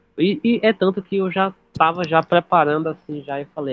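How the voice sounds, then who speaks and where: A man in an unremarkable speaking voice, at a moderate pace, with ordinary pitch variation. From Bahia, Brazil (Salvador). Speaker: podcast guest, community member. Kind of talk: personal testimony.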